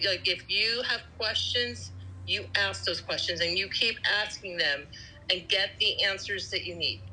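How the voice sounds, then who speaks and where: Noticeable background noise runs under a woman speaking at a fairly slow pace. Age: 60s. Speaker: patient advocate with heart condition. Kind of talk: interview.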